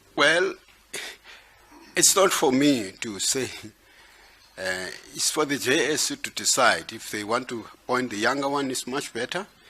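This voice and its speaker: Against noticeable background noise, a man with a fairly high pitch speaks at a fairly slow pace, with ordinary pitch variation and long, frequent pauses. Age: 60s. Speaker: judge candidate being interviewed. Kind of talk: job interview.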